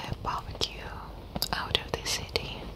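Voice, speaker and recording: A woman whispers in a soft-spoken way over loud background noise. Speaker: ASMR creator. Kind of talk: soft-spoken ASMR chat. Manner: soft close whisper into ear mic. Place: home room. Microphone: studio mic.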